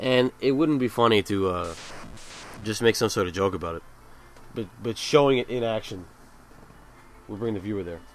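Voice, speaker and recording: A man mumbles at a moderate pace in a fairly low pitch. His loudness swings widely, and he leaves long, frequent pauses. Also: ordinary pitch variation. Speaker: video game reviewer. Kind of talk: video commentary. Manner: mumbling; halting, repeated words.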